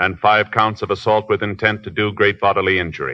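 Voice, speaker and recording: At a fairly quick pace, a man speaks. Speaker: radio drama announcer. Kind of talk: 1950s radio drama, Dragnet.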